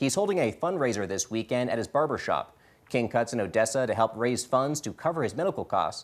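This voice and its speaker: A man with an American accent speaks in an ordinary speaking voice at a medium pitch. He talks at a fairly quick pace on a very clean recording with a silent background. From US South, Georgia. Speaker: news anchor. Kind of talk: news reading.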